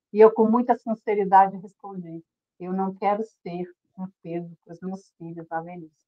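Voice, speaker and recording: Her delivery runs at a moderate pace, with ordinary pitch variation. This woman has a normal speaking voice. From Brazil, Federal District. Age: 60s. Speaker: weight-loss program participant. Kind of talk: testimony. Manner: emotional, earnest.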